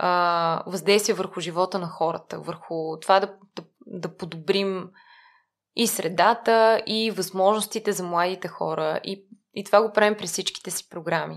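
Her voice is a plain, everyday voice at a medium pitch, with big swings in loudness. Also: fairly even intonation, fairly slow pace. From Bulgaria, Lyubimets. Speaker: nonprofit mentoring program manager. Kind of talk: interview conversation.

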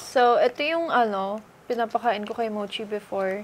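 A woman talks at a fairly slow pace. Her intonation is fairly even, with light background noise. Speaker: vlogger. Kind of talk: casual vlog chat. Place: home room. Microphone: camera far.

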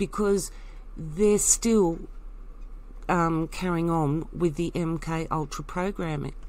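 Speaking very slowly with long, frequent pauses, a woman with an Australian accent keeps her fairly low pitch in fairly even intonation. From Tasmania, Australia. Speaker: alternative commentator vlogger. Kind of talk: personal monologue.

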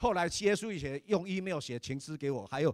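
A man talks at a moderate pace in a fairly high voice with ordinary pitch variation. His tone is animated. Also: dry, close sound with no echo. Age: 60s. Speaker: church elder and preacher. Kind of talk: sermon.

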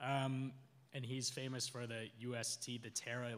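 The voice is loud. Its tone is bright and sharp. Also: man. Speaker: conference panelist working in web3. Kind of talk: conference talk. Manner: halting, many fillers.

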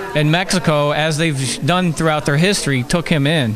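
Intonation stays fairly even over noticeable background noise. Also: man. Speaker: activist. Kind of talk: casual chat. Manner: halting. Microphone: handheld.

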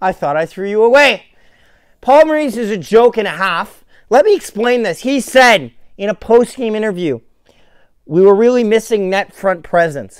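A man is shouting at a high pitch. The sound is dry with no echo against a quiet background. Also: moderate pace. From Winnipeg, Canada. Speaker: hockey fan podcaster. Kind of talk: angry rant about a team's loss. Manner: furious, sweary, shouting, sarcastic. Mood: frustrated, ranting. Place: home room. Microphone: phone near.

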